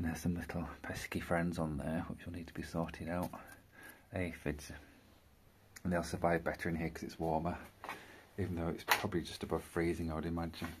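A man's very deep, low voice in a monotone, flat delivery at a fairly quick pace, with long, frequent pauses and loud background noise. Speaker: gardener. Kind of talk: casual talk to camera. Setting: outdoors. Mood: calm and friendly. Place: garden. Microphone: phone near.

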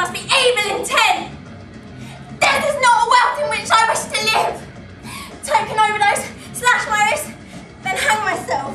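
Faint music plays behind a woman speaking at a moderate pace in a raised, projected voice. She leaves long, frequent pauses. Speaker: drama student actor. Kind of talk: dramatic theatre monologue. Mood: anguished, intense. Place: stage. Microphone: camera far.

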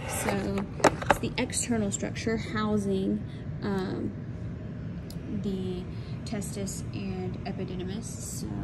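A woman speaking at a very slow pace, with long, frequent pauses, over loud background noise. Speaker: college science instructor. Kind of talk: anatomy lab walkthrough. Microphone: phone near.

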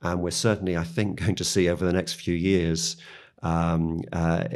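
The recording is very clean, with a silent background. The speaker has a British accent. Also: man. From United Kingdom. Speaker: media company policy executive. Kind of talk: interview.

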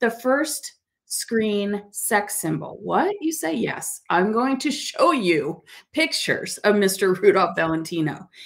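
Speaking at a very slow pace, a woman with a warm tone makes very wide pitch swings against a quiet background. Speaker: talk show host. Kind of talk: interview. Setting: studio. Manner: warm, effusive. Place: studio.

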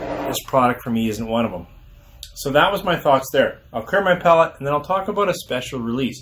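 Over light background noise, a man with a fairly high pitch talks at a fairly quick pace with very wide pitch swings. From Alberta, Canada. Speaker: whisky reviewer. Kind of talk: casual review monologue; casual review chat. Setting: outdoors on a deck. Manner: halting, many fillers. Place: home room.

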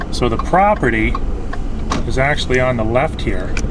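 The speech comes at a moderate pace in a dry sound with no echo, with noticeable background noise. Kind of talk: casual property tour commentary. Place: car. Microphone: phone near.

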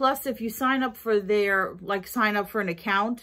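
Bright and sharp in tone, a woman speaks with ordinary pitch variation. The background is quiet. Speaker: vlogger. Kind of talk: casual haul vlog chat. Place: kitchen. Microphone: phone near.

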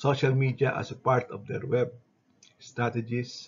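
A somewhat breathy man speaks at a moderate pace with monotone, flat intonation. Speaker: instructor. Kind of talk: lecture. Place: home room. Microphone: webcam.

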